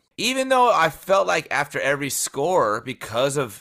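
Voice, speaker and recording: At a moderate pace, a man speaks with a bright, sharp tone and lively intonation in a very clean recording with a silent background. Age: young. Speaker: sports podcast co-host. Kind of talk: casual chat.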